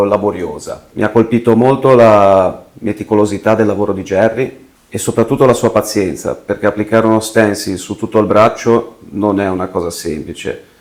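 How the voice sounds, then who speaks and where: An ordinary speaking voice from a man, medium in pitch, at a moderate pace with hardly any pauses and fairly even intonation. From Liguria, province of Genoa, Italy. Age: 30s. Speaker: tattoo client. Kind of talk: testimonial interview.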